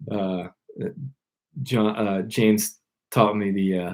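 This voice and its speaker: He talks at a very slow pace. The man has an American accent. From Maryland, US. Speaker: fly fishing YouTuber. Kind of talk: casual live-stream Q&A. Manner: loud; casual, halting.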